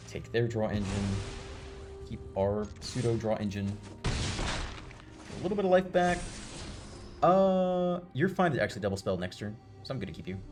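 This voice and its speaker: A man speaks at a medium pitch and moderate pace, with very wide pitch swings and long, frequent pauses. Music plays in the background. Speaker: gaming streamer. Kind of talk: gameplay commentary. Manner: casual.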